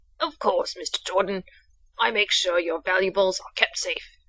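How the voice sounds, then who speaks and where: Using a put-on character voice, a woman speaks raspily at medium pitch and a moderate pace, her loudness swinging widely. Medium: game stream. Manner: proper, dry.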